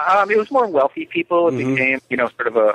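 A man talks at a fairly quick pace with an American accent. He has a normal speaking voice and lively intonation. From New York. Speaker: author and cultural historian. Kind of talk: interview.

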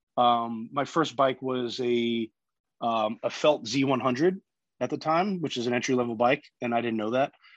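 A man speaks fairly slowly in a normal speaking voice at medium pitch with ordinary pitch variation, the sound dry and close with no echo and the background quiet. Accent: American. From New York. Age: 30s. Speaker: cancer survivor and long distance cyclist. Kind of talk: casual interview.

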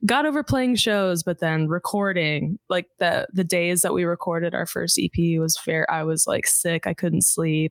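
A woman with a plain, everyday voice speaks at a fairly low pitch with ordinary pitch variation and hardly any pauses. Her loudness is very even, and the sound is dry and close with no echo. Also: moderate pace. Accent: American. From US South, suburbs of Houston, Texas. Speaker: singer. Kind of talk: casual chat.

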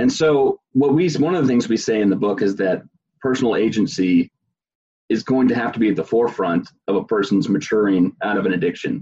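A man speaks at a fairly quick pace with fairly low pitch, a slightly husky edge, a slightly mellow tone and ordinary pitch variation.

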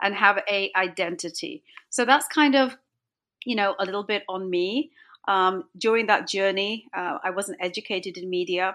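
The tone is bright and sharp, with ordinary pitch variation. Delivery is at a moderate pace against a quiet background. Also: woman. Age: 50s. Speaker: entrepreneur and confidence coach. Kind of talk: interview.

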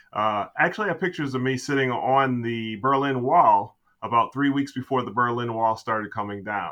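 Booming and with hardly any pauses, a man speaks at a moderate pace in an American accent. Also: ordinary pitch variation. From Chicago area. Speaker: podcast guest, business coach.

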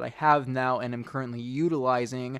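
A man speaks at medium pitch with fairly even intonation and a moderate pace. It's an ordinary speaking voice on a very clean recording with a silent background. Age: 20s. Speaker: aspiring actor. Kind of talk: casual family chat.

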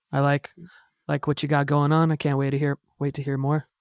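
The sound is dry and close with no echo, on a very clean recording with a silent background. A man speaks at a moderate pace in a fairly high pitch. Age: 30s. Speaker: punk band guitarist and vocalist. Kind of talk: casual chat. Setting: home studio.

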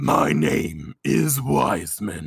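The voice is a booming, put-on character voice. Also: man, very deep, low pitch for a man. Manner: spooky.

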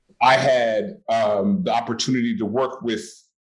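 A man with an American accent and an ordinary speaking voice, medium in pitch, fairly slow in pace, with lively intonation. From US West Coast, Oakland, California. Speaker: actor. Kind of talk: casual interview.

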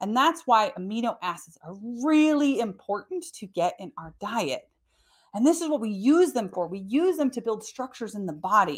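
Speaking at a moderate pace, a woman with a fairly high, somewhat breathy voice swings very widely in pitch and makes big swings in loudness, on a very clean recording with a silent background. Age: 40s. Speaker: podcast host and wellness coach. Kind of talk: solo educational podcast talk. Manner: casual, conversational.

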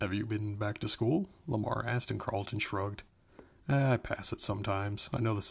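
Fairly even intonation in a natural reading voice

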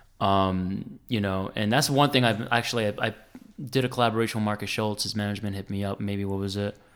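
A very fast man with a New Jersey accent, fairly low pitch and fairly even intonation. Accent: New Jersey American. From US Northeast, New Jersey. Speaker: instrumental guitarist. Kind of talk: casual interview chat.

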